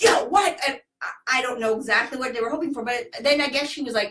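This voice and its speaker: A woman's animated voice, high-pitched for a woman. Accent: American. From United States. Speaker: startup founder. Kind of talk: casual chat.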